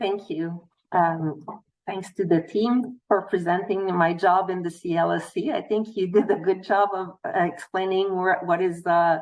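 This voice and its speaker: In a Quebec accent, a woman speaks fairly slowly at a medium pitch with fairly even intonation. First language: French. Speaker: nutritionist. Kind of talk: panel presentation. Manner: halting.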